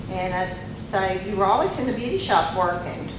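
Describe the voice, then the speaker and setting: A woman speaks with an Arkansas accent and ordinary pitch variation. Noticeable background noise and audible room echo fill the recording. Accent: US Southern, Arkansas. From Arkansas, Jonesboro area. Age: 60s. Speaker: recovering alcoholic speaker. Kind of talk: testimony. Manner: halting, many fillers.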